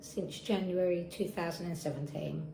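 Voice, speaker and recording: A woman with an Essex accent at a moderate pace, ordinary pitch variation, audible room echo and noticeable background noise. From Essex, England. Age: 30s. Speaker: patient sharing experience. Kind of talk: testimony.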